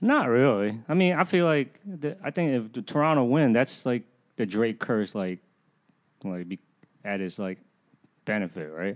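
Speaking with an American accent over a quiet background, a man uses a medium pitch with very wide pitch swings, a fairly slow pace and long, frequent pauses. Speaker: guest. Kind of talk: casual chat.

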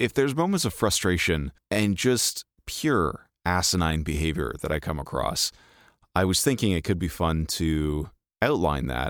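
In a very clean recording with a silent background, a man with a very deep, low voice and vocal fry talks at a moderate pace with lively intonation. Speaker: podcast host. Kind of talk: casual chat. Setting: studio. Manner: animated.

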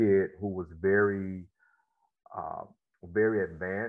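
A man with a fairly low pitch and a Mississippi accent, at a moderate pace. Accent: Southern US (Mississippi). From US South, Mississippi Delta. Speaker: former football player, motivational speaker and therapist. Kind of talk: interview.

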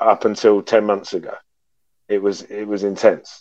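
The speaker is a man with a British accent. He talks at a moderate pace. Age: 40s. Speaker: podcast guest sharing trauma story. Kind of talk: personal testimony in interview.

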